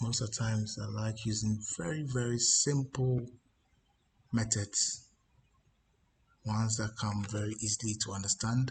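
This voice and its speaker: A quiet, somewhat breathy and strained man's voice at a medium pitch, moderate in pace, with fairly even intonation and long, frequent pauses. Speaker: baccarat strategy youtuber. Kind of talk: screen-share tutorial. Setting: office. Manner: quiet, restrained volume; halting, many fillers and repeats.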